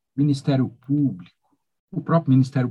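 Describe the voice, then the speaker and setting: A man speaks with a dark, mellow tone that is somewhat breathy. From Rio Grande do Sul, Brazil. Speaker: law professor. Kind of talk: interview. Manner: animated.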